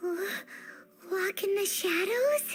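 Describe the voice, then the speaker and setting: Over clear background music, a put-on character voice speaks at an extremely high pitch. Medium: video game.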